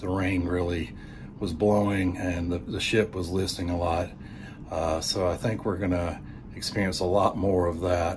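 Somewhat breathy speech comes at a moderate pace with fairly even intonation amid noticeable background noise. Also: man. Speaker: cruise vlogger. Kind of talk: casual vlog update. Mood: calm, informative. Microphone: phone near.

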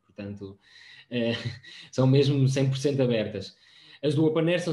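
In a room with audible echo, a man speaks at a moderate pace, his dark, mellow voice somewhat breathy with ordinary pitch variation. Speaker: open science project staff; presenter. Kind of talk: presentation. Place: home room. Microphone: video call.

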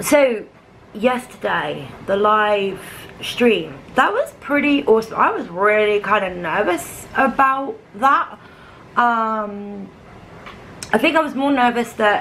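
Light background noise accompanies a woman speaking at a very slow pace. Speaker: vlogger. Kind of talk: casual vlog chat. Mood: amused, relaxed. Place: kitchen. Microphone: phone near.

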